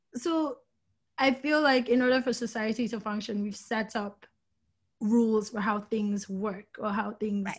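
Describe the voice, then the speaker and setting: A woman talks fairly slowly, her fairly high voice somewhat breathy and her intonation fairly even. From Nigeria. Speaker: business school graduate in fashion and tech. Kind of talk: podcast interview.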